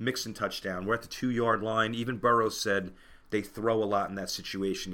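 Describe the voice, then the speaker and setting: In a very clean recording with a silent background, a man with a fairly low voice speaks in a bright, sharp tone and fairly even intonation. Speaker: podcast host and football fan. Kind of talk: sports podcast monologue. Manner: fast talker.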